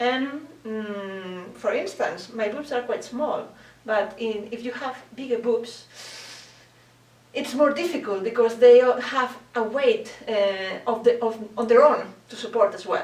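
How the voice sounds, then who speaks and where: At a very slow pace, a woman with a non-native accent speaks in a high pitch, her loudness swinging widely. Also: ordinary pitch variation. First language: not English. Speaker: bridal dressmaker. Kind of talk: tutorial talk to camera. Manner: hesitant, many fillers.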